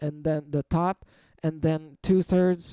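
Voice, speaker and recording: A man's dark, mellow tone in a dry, close, very clean recording with no echo and a silent background. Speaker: crypto trading analyst. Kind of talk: chart analysis commentary. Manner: animated.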